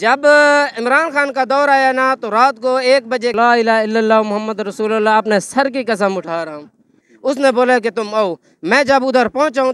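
With ordinary pitch variation, this man's voice sits at an extremely high pitch. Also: dry sound with no echo. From Pakistan. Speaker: street interviewee. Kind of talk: casual street interview. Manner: emphatic. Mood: earnest, emphatic storytelling. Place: street. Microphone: handheld.

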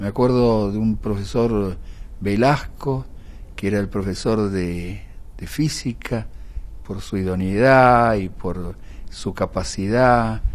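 Using a fairly low pitch and ordinary pitch variation, a man speaks at a very slow pace with long, frequent pauses. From Córdoba, Argentina. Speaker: doctor and university professor. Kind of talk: interview. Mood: warm, reminiscing. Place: meeting room. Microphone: handheld.

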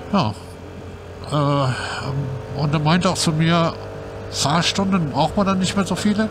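Amid noticeable background noise, a man speaks at a very slow pace and a fairly high pitch, with ordinary pitch variation, very even loudness, and long, frequent pauses. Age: 50s. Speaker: YouTuber, scooter rider. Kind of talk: casual vlog monologue. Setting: on a scooter ride outdoors. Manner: hesitant, many fillers.

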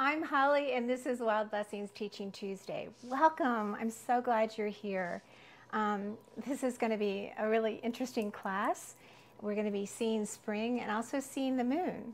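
The pitch varies in an ordinary way. The pace is fairly slow. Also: woman. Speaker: herbal foraging teacher. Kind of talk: live class tutorial. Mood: warm, enthusiastic. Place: kitchen.

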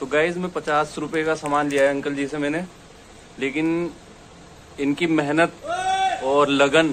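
Talking at a moderate pace, a man uses a fairly high pitch with little pitch movement. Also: fairly bright tone.

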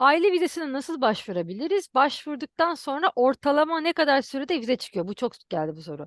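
The speech moves at a fairly quick pace with hardly any pauses and very wide pitch swings. The sound is dry and close with no echo, over a quiet background. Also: woman, high pitch for a woman. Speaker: YouTuber. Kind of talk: interview.

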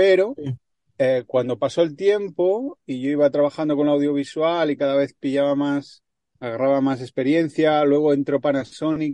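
This man has a dark, mellow tone and a fairly high pitch with ordinary variation, at a moderate pace. The sound is dry and close with no echo, over a quiet background. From Barcelona, Spain. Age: 40s. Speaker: traveling cyclist and filmmaker. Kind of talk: casual interview.

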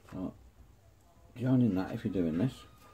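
Over light background noise, a man with an English accent talks at a fairly quick pace in a dark, mellow, somewhat breathy tone with lively intonation. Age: 50s. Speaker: model-building YouTuber. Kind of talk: hobby tutorial. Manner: casual, chatty. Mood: relaxed, joking. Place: workshop. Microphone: phone near.

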